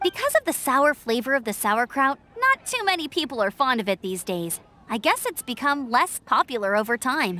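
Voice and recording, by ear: This put-on character voice has a bright, sharp tone, big pitch swings and few pauses. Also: woman, high pitch for a woman, moderate pace.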